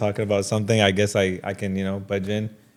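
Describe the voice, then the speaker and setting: A man with an Arabic accent speaks at a very fast pace and a fairly low pitch. His intonation is monotone and flat. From Jordan. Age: 30s. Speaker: watch dealer. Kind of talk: casual interview. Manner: casual.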